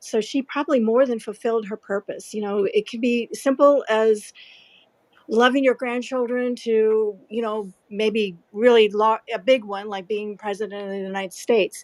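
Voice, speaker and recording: A woman with a fairly high pitch and an unremarkable speaking voice talks at a moderate pace, her intonation fairly even while her loudness swings widely. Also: dry, close sound with no echo. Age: 60s. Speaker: aspiring author. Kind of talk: personal testimony. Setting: live audio chat room.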